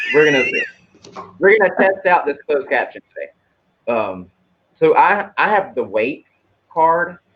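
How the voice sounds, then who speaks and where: Speaking in a Southern US accent, a man leaves long, frequent pauses. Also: moderate pace. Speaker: tarot card reader. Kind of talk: casual chat. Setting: live video stream.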